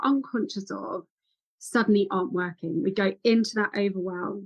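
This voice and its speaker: Animated in tone, a woman speaks at a medium pitch with ordinary pitch variation and a somewhat breathy quality. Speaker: women's health and ADHD specialist. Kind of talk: podcast interview. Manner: fast.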